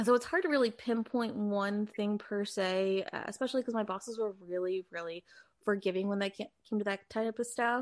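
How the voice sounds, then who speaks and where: A woman with a normal speaking voice and an American accent talks at a fairly high pitch. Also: ordinary pitch variation, fairly quick pace. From US Northeast, Philadelphia. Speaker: full-time reseller, former fashion corporate employee. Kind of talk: casual interview.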